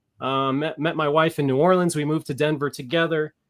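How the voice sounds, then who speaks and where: Pitched fairly high, a man's voice moves at a fairly quick pace. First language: Spanish. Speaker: off-grid shepherd and online prophecy teacher. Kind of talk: casual chat, panel discussion.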